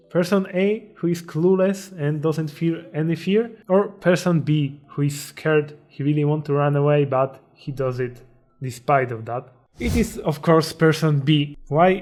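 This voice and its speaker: A man with a Polish accent, fairly high pitch, ordinary pitch variation and a fairly slow pace. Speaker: self-improvement YouTuber. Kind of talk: motivational talk. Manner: halting.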